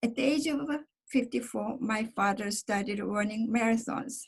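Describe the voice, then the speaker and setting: At a fairly slow pace, a woman with a Korean accent speaks with fairly even intonation. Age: 70s. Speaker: member of a divided family, panelist. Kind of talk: personal testimony. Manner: halting, many fillers.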